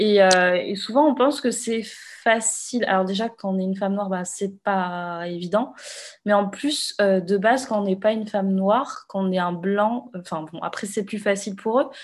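Against a quiet background, a woman speaks in a normal speaking voice at a moderate pace. Her pitch is medium, with ordinary pitch variation. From Réunion. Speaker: podcast host. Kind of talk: interview.

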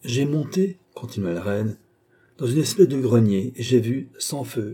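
What we hear is plain reading aloud.

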